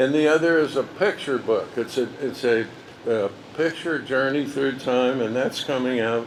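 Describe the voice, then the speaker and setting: Noticeable background noise sits behind a man who talks at a moderate pace, his pitch varying in an ordinary way. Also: medium pitch for a man. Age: 80s+. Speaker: park founder and former general manager. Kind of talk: ceremony speech. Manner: halting.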